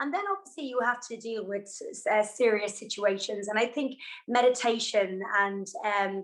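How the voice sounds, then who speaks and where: Speaking with an Irish accent, a woman uses fairly even intonation at a moderate pace and a fairly high pitch. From Ireland. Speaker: yoga and fitness instructor. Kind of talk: interview. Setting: video call.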